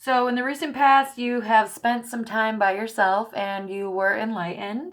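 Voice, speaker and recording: A woman speaks at a fairly slow pace. Her words come out mumbled. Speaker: tarot reader. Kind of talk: tarot reading monologue. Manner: mumbling; casual, chatty.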